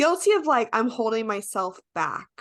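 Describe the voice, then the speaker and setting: Speaking at a moderate pace against a quiet background, a woman has a fairly high pitch, lively intonation and a bright, sharp tone. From Las Vegas. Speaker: podcast host. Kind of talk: podcast interview.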